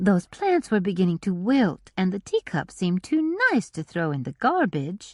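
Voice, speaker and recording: A put-on character voice with a warm tone, middle pitch and moderate pace plays against a quiet background. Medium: read story. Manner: warm, cooing.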